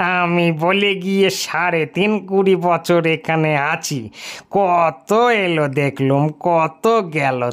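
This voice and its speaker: A man performs a put-on character voice at a high pitch. He talks at a very slow pace on a very clean recording with a silent background. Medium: read story. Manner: boastful, folksy, chatty.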